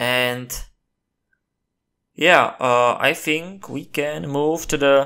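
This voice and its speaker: A man speaks with a non-native accent. His tone is bright and sharp. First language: not English. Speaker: gameplay commentator. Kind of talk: gameplay commentary. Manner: animated.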